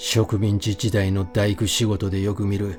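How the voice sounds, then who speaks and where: The tone is calm and soothing, with fairly even intonation. Music plays in the background. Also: man. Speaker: audiobook reader. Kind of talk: sleep-oriented audiobook reading of a horror novel. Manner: calm, soothing, sleep-inducing.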